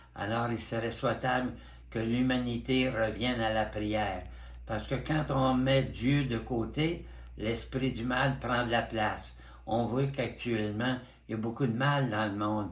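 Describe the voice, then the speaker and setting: Fairly slow, somewhat breathy speech with fairly even intonation and audible room echo. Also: man, medium pitch for a man. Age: 90s. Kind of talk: interview. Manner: halting.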